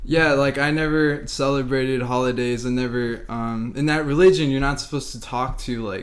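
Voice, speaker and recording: Hardly pausing, a man with an American accent talks at a moderate pace in a medium pitch with fairly even intonation, over noticeable background noise. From Las Vegas, Nevada. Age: 20s. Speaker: podcast co-host. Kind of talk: casual chat.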